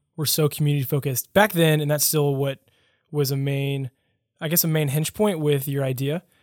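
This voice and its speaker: A man with a normal speaking voice talks at a fairly quick pace in a fairly high pitch, in a dry, close sound with no echo. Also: very clean recording, silent background. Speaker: podcast host. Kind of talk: casual interview. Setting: studio.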